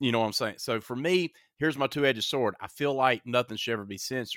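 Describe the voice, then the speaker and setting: A man speaks with a bright, sharp tone. The sound is dry and close with no echo, in a very clean recording with a silent background. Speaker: horror podcast host. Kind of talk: casual chat. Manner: animated.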